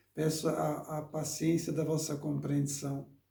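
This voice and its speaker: Through audible room echo, a man speaks at a very slow pace. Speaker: preacher. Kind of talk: sermon. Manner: halting, with repetitions.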